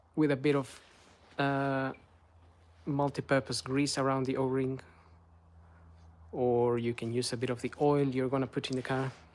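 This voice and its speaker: A man with a Spanish accent speaks at medium pitch and a moderate pace, in a flat monotone. He leaves long pauses often. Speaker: car maintenance youtuber. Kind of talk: tutorial; casual chat. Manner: hesitant, many fillers.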